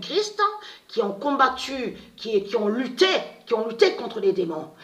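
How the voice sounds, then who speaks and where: The woman's pitch swings very widely as she talks at a fairly slow pace. Background noise is noticeable. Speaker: online video monologuist. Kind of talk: casual monologue to viewers. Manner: halting, repetitive.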